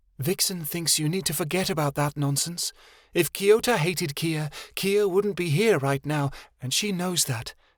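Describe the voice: In a put-on character voice, the speaker is breathy at a moderate pace, on a very clean recording with a silent background. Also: man, high pitch for a man.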